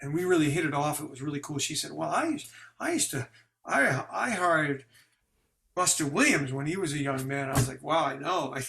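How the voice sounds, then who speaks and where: With an American accent, a man speaks at a fairly quick pace, his pitch fairly high and his intonation fairly even. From New York, Brooklyn. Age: 60s. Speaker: jazz bassist. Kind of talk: interview. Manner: halting.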